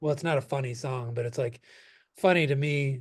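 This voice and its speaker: Speaking with an American accent, this man has a somewhat breathy voice. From US, Philadelphia. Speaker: indie rock singer. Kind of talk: interview. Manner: hesitant, many fillers.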